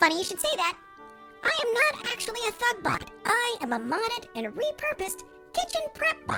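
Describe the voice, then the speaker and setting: Over loud music in the background, a squeaky put-on character voice speaks at an extremely high pitch and a moderate pace. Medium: audio drama. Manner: polite, deadpan.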